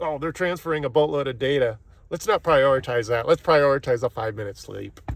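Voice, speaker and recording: Fairly high-pitched for a man, his voice moves at a fairly quick pace with ordinary pitch variation. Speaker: IT technician. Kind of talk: rant.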